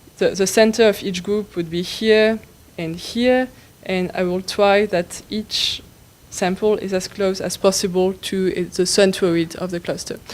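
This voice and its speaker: At a fairly slow pace, a woman with a French accent speaks with fairly even intonation. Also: medium pitch for a woman. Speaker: tutorial instructor. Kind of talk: tutorial. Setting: conference room with live audience. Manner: halting, with many fillers.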